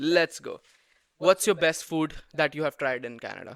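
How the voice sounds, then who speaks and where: A man with a fairly high pitch speaks on a very clean recording against a silent background. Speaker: podcast host. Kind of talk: casual podcast talk.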